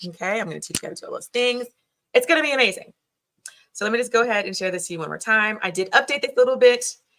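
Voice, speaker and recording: Very fast and animated, a woman speaks with ordinary pitch variation. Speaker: business coach. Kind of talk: live webinar training.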